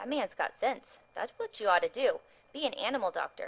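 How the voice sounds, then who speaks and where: Moderate speed, a high female-sounding pitch, all in a put-on character voice. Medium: read story.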